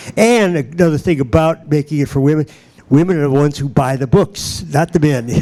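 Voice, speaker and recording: Ordinary pitch variation against noticeable background noise. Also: man, fairly high pitch for a man, fairly quick pace. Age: 70s. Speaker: business consultant and event host. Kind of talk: panel moderation remarks to live audience. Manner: halting, many filler uhs.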